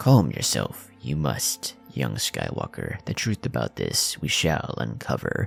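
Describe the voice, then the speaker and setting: A man in a put-on character voice, very deep and low, with very wide pitch swings at a fairly slow pace over clear music in the background. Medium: read story. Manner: inverted word order, measured.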